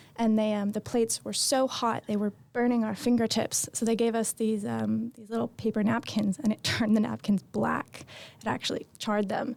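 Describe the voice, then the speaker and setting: Hardly any pauses break this woman's speech. Her pitch is fairly high and her intonation monotone and flat. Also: moderate pace. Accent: American. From US West Coast. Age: 20s. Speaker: hospitality supervisor. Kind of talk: interview.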